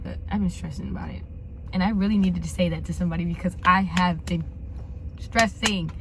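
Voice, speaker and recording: A woman talking at a very fast pace, with noticeable background noise and audible room echo. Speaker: lifestyle vlogger. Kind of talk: casual vlog chat.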